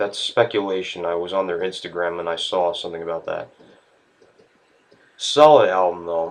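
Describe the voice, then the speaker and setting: A man's very deep, low pitch at a moderate pace, with long, frequent pauses. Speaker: music reviewer. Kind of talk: video review. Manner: monotone.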